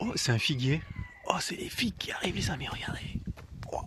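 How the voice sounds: A man whispers in a husky voice at a fairly quick pace.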